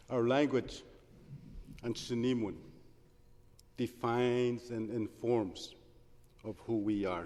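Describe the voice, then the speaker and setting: The voice has a dark, mellow tone and fairly even intonation. It moves at a very slow pace with long, frequent pauses. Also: man, medium pitch for a man. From northern Ontario First Nation (Big Trout Lake). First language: Anishininiimowin (Oji-Cree). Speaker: politician. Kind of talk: parliamentary speech. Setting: legislative chamber. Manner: measured, formal.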